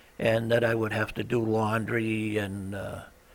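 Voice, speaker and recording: With an American accent, a man of medium pitch speaks at a fairly slow pace with fairly even intonation, over noticeable background noise. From Boston area, Massachusetts, USA. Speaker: Navy veteran, aircraft carrier crew. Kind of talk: oral history interview answer. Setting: recorded interview, cable TV studio. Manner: casual, conversational, hesitant with fillers.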